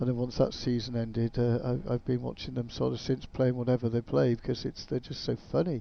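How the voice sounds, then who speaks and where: This voice belongs to a man. It is pitched in the middle range. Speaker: gaming YouTuber. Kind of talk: gameplay commentary. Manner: mumbling.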